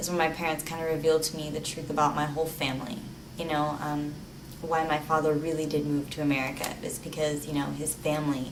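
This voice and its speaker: A woman talks at a fairly quick pace in a very deep, low voice with monotone, flat intonation. Audible room echo and noticeable background noise surround her. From Ecuador, Lebanon and Texas. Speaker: art student. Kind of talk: personal testimony. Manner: hesitant with many fillers.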